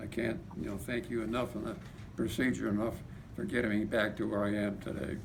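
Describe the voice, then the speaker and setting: A fairly low-pitched man at a fairly quick pace, with ordinary pitch variation and audible room echo. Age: 80s+. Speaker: patient giving testimony. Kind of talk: testimony. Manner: halting.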